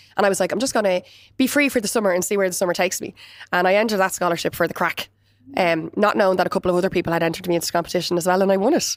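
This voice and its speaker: Talking at a very fast pace, a woman speaks with a Dublin accent. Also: medium pitch for a woman, ordinary pitch variation. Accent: Irish (Dublin). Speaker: florist and business founder. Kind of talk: interview. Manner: loud and chatty; animated.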